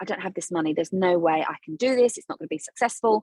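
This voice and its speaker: A woman with a South London accent speaks in a dry, close sound with no echo. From South London, England. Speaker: business coach, former dancer. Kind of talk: podcast interview. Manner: animated.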